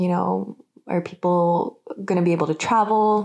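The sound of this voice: The voice has a slightly mellow tone. It carries an American accent. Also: woman.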